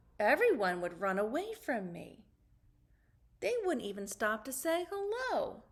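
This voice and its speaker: A squeaky, put-on character voice at a moderate pace. Its pitch swings very widely. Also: woman, high pitch for a woman. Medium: read story.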